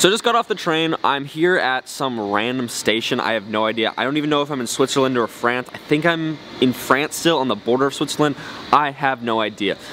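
A man speaks fairly quickly with ordinary pitch variation. Light background noise runs underneath. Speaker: scooter rider vlogger. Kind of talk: casual vlog chat. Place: station. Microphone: phone near.

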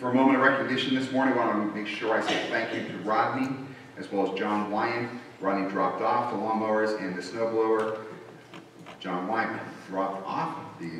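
A man's fairly low voice at a fairly quick pace, with fairly even intonation, strong room echo and light background noise. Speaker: pastor. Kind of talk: church announcements. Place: church. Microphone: podium.

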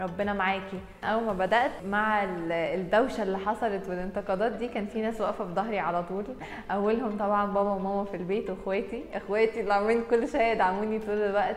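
Speaking at a fairly quick pace with hardly any pauses, a woman keeps a fairly even intonation, with audible room echo and light background noise around her. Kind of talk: interview answer. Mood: warm, reflective, smiling. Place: studio. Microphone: lapel.

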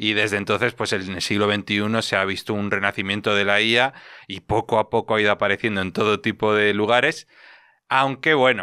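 Against a quiet background, a man with a fairly low pitch and a bright, sharp tone talks at a fairly quick pace with fairly even intonation. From Spain. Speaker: tech podcast co-host, former vocational teacher. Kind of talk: casual chat. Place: studio. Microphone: studio mic.

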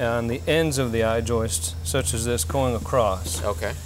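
A man's voice at a moderate pace with very wide pitch swings, music playing behind him. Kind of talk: interview answer. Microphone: lapel.

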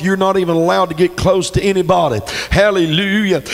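Music plays behind a man whose voice is high-pitched, with ordinary pitch variation. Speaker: pastor. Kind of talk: sermon. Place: church. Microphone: handheld.

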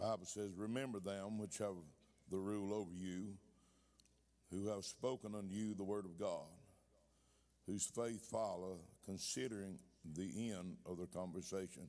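Here a man speaks at a moderate pace with fairly even intonation. His low-pitched voice has a dark, mellow tone.

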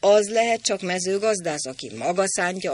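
The speaker gives a plain reading aloud with fairly even intonation.

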